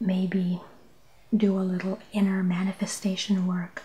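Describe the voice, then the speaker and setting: A soft-spoken woman is whispering. She goes at a very slow pace. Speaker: ASMR tarot and oracle card reader. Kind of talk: ASMR relaxation tarot reading. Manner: soft-spoken, whispering.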